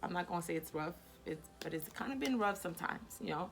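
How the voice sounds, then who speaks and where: Against music in the background, a woman at medium pitch speaks with lively intonation. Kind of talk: casual chat. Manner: hesitant, repeats words.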